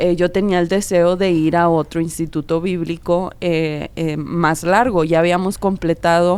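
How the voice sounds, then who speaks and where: A woman is talking here. Her intonation is fairly even throughout. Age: young. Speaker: podcast co-host. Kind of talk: casual chat.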